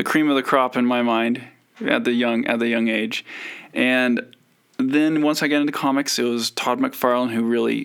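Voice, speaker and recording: A man with an American accent has a normal speaking voice at a medium pitch, with fairly even intonation, very even loudness and a moderate pace. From US West (Idaho and Utah). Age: 40s. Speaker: comic artist. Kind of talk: casual interview. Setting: video call.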